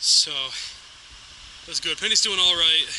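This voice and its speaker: A man speaks with an American accent. The sound is dry with no echo, and light background noise is present. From Massachusetts. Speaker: hiking vlogger. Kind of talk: vlog narration. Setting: outdoors; in a car. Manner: loud. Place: forest. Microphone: phone near.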